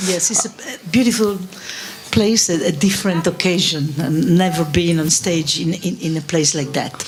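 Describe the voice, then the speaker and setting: A woman speaks at a moderate pace in a fairly low voice with a non-native accent, with audible room echo and noticeable background noise. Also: ordinary pitch variation. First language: Italian. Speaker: furniture company creative director. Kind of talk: interview on stage. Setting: stage with live audience. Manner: halting.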